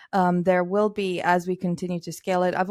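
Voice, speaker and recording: A woman speaks in a Romanian accent at a fairly low pitch. Her pace is moderate. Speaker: technology evangelist. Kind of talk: casual interview. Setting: video call.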